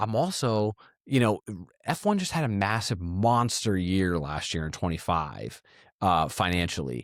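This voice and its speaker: In a very clean recording with a silent background, a man with fairly low pitch talks at a fairly slow pace in an animated tone with lively intonation. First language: Italian. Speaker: motorsport business commentator. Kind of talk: casual chat.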